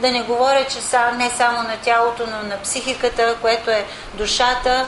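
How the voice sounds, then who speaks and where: A woman's high-pitched, flat and monotone voice amid noticeable background noise and audible room echo. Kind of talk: sermon.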